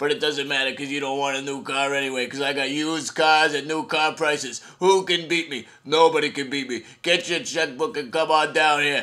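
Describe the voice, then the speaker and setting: Using a cartoonish character voice, a man talks at a fairly quick pace and fairly high pitch with hardly any pauses. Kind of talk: comic overacting, hard-sell TV ad pitch. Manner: pushy, boastful, rapid, excited.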